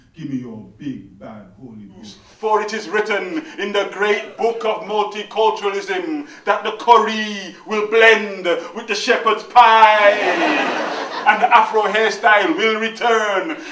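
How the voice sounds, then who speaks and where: Through noticeable background noise, a man projects a raised, high-pitched voice very slowly with hardly any pauses, ordinary pitch variation and big swings in loudness. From Birmingham. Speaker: performance poet. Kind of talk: live poetry performance. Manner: rhythmic, call-and-response.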